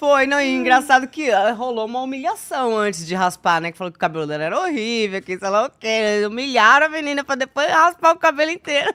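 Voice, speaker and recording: A bright, sharp tone with very wide pitch swings, a fairly quick pace, hardly any pauses, and a dry, close sound with no echo. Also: woman. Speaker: former TV show dancer/assistant. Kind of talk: casual podcast interview. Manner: hesitant, many fillers.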